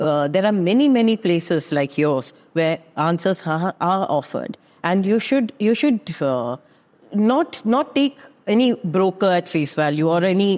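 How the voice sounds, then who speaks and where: Her pitch fairly low yet swinging very widely, a woman speaks at a moderate pace. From Kerala, India. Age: 60s. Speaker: real estate expert. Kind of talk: podcast interview.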